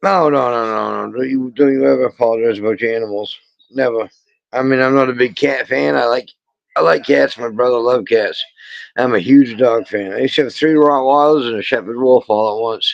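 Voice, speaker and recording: A man with a strong Maine accent, medium pitch, ordinary pitch variation and a fairly quick pace. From Maine, New England. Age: 50s. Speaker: lobster fisherman. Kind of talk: casual chat.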